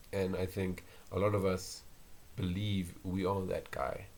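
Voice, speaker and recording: The voice is quiet and somewhat breathy. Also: man. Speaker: university student. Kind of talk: casual solo podcast talk. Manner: monotone, quiet; hesitant, with filler words.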